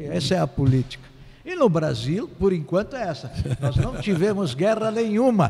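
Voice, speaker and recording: Over noticeable background noise, a man with a high pitch for a man talks at a moderate pace with very wide pitch swings. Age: 60s. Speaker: political consultant and sociologist. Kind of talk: interview. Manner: halting.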